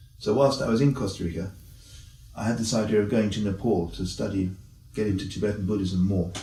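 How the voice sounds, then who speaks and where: A man talks at a very fast pace with a fairly low pitch, a dark, mellow tone and a somewhat breathy sound. His intonation stays fairly even, and there is audible room echo. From South America. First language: Spanish. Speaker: ecologist and college lecturer. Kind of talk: interview. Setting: on location at a college.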